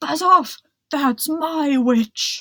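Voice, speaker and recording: The speaker puts on a shrill, high-pitched character voice. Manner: aggressive, threatening.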